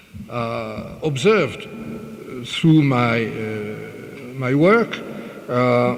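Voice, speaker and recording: A man with a French accent at a very slow pace, audible room echo and noticeable background noise. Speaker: conference speaker. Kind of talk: lecture. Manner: halting, many fillers.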